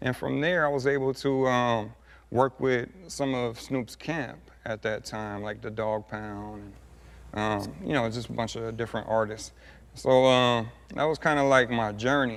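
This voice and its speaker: A man with an American accent in an ordinary speaking voice, medium pitch for a man, ordinary pitch variation and a moderate pace. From Southern California, Montclair. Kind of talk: TV interview. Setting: TV studio couch. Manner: casual, many fillers.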